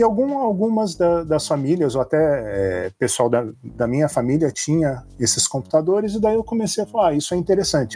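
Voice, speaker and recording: On a very clean recording with a silent background, a man with a dark, mellow tone and a fairly high pitch talks at a fairly quick pace with hardly any pauses, very even loudness and very wide pitch swings. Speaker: hacker, security expert. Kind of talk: casual interview chat.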